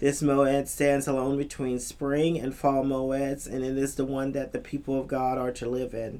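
The speech has hardly any pauses, with noticeable background noise behind it. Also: moderate pace. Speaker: chaplain and co-host. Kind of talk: casual chat.

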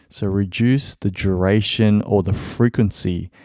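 In an Australian accent, a man speaks at a very slow pace with a very deep, low pitch and fairly even intonation. The recording is very clean with a silent background, and the sound is dry and close with no echo. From Melbourne, Australia. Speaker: podcast host. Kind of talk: solo podcast monologue. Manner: casual, with many fillers.

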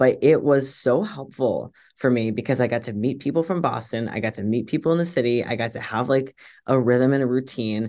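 A fairly quick man with an American accent, medium pitch, and ordinary pitch variation over a quiet background. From US South, suburban Virginia. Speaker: tech marketing lead and bakery owner. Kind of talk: interview.

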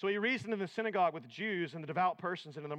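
The pitch shifts in an ordinary way through a natural reading voice.

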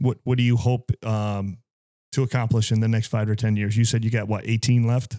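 Heard in a dry, close sound with no echo, a man with a medium pitch and a dark, mellow tone talks in a flat monotone at a fairly quick pace, his loudness very even. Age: 50s. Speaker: podcast host and police officer. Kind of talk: casual chat.

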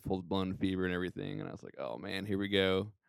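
A man's fairly low voice at a fairly quick pace. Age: 30s. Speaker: podcast co-host and church drummer. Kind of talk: casual chat.

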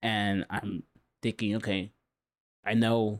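The speaker has an American accent and a monotone, flat intonation. The sound is dry and close with no echo, and the recording is very clean over a silent background. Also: man. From Southern California, Huntington Beach. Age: 40s. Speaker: artist. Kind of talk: casual interview chat.

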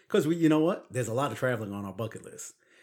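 The recording is very clean, with a silent background. A man talks with a Brooklyn accent. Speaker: podcast co-host. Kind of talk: casual chat.

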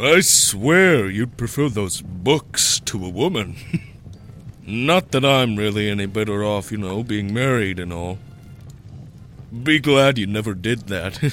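Speaking at a fairly slow pace with long, frequent pauses, a man uses lively intonation over clear background noise. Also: fairly low pitch for a man. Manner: crude, joking, flippant.

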